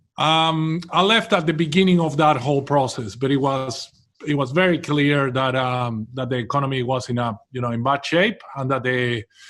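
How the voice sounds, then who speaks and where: In a Venezuelan accent, a man with a fairly high pitch talks at a moderate pace with ordinary pitch variation and hardly any pauses, on a very clean recording with a silent background. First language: Spanish. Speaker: property developer. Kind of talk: interview.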